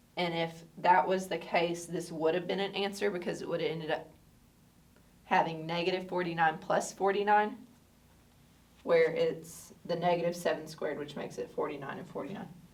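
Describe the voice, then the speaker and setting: Room echo is audible as a woman with a fairly low voice speaks at a moderate pace with fairly even intonation. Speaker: math teacher. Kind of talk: tutorial.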